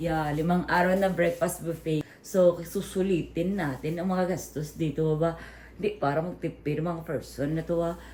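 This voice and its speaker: A woman's fairly low voice with vocal fry, fairly even intonation and a fairly slow pace. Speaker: vlogger. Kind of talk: casual travel vlog. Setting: hotel on vacation.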